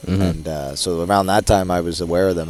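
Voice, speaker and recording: A man's very deep, low voice with an American accent, very fast and fairly even in intonation, amid noticeable background noise. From New Jersey, USA. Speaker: wrestling color analyst, former college wrestler. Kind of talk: color commentary in a broadcast booth. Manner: casual, conversational.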